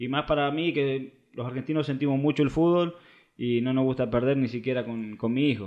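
A man talks at a moderate pace with fairly even intonation over a quiet background. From Argentina, small town in Córdoba. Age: 20s. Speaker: professional footballer. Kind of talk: casual interview. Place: home room.

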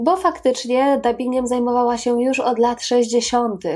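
A woman with a Polish accent speaks at a fairly high pitch, her tone dark and mellow. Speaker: video channel host. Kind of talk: scripted narration of a biographical video.

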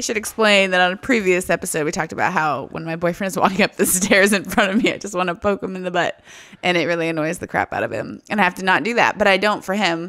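A woman with a medium-pitched, bright, sharp voice speaks at a very fast pace with fairly even intonation. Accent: American. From United States. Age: 30s. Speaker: writer, podcast co-host. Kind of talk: casual chat.

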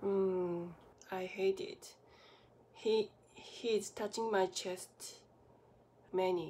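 A woman with a non-native accent speaks very slowly in a flat, monotone delivery with a dark, mellow tone, taking long, frequent pauses over light background noise. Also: medium pitch for a woman. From Japan. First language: Japanese. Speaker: acupuncturist, medical massage therapist. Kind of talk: casual talk to camera. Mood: serious, subdued. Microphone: phone near.

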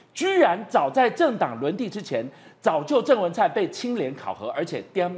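The pace is moderate, neither fast nor slow. Pitch rises and falls across a very wide range. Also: man. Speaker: political talk show host. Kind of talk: political talk show. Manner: animated.

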